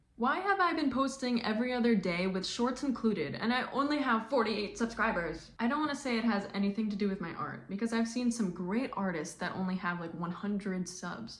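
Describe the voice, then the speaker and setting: Her intonation is lively, and noticeable background noise runs under this woman's speech. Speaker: artist and content creator. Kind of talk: casual vlog rant. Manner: halting, many pauses.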